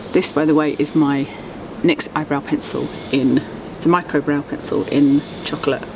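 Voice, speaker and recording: A soft-spoken woman with an English accent and a very deep, low pitch talks at a moderate pace with long, frequent pauses over noticeable background noise. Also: fairly even intonation. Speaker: beauty vlogger. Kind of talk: casual chat. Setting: outdoors.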